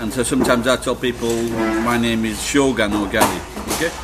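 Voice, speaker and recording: Music plays behind a man who speaks at a moderate pace. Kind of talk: casual vlog chat. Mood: playful, joking. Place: cafe. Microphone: phone near.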